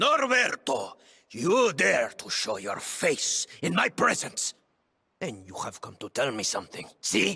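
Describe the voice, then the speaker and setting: Using a put-on character voice at a medium pitch, a man speaks at a fairly slow pace with big swings in loudness. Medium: video game. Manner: stern, declamatory.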